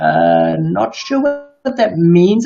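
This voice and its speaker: The speaker is a man with a South African accent and a fairly high pitch. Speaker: live stream host. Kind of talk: casual chat.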